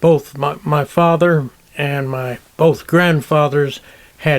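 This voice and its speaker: A man speaks at a very slow pace with fairly even intonation. His voice is fairly high. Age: 80s+. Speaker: retired professor and writer. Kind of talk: interview, reminiscing. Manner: halting, with fillers.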